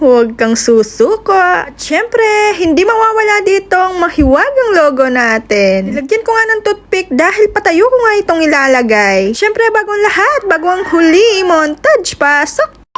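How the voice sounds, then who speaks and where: Her pitch is extremely high and swings very widely, while her loudness stays very even. The woman keeps a moderate pace over noticeable background noise. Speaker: cake baker vlogger. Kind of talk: vlog voice-over. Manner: energetic; animated.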